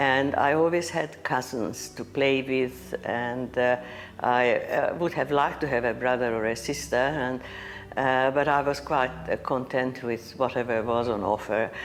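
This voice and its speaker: This woman's pitch is very deep and low. Her pace is fairly slow. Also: ordinary pitch variation. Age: 80s+. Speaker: Holocaust survivor. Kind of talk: interview testimony. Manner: hesitant, many fillers.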